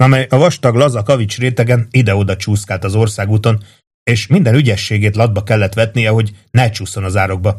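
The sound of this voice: The background stays quiet as someone reads in an unforced voice.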